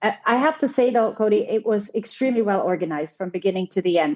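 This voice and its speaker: A woman speaks in a German accent with fairly high pitch. Her intonation is lively. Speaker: hotel general manager. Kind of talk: podcast interview. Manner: halting, many fillers.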